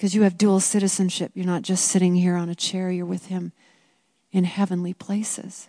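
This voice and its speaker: Monotone, flat intonation marks this dark, mellow tone. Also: woman, medium pitch for a woman, fairly quick pace, quiet background. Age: 50s. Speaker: women's Bible study teacher. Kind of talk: teaching talk.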